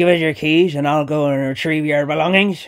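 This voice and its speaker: In a put-on character voice, a man speaks wheezily at a fairly quick pace with monotone, flat intonation. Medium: read story. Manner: dry, creepy humour.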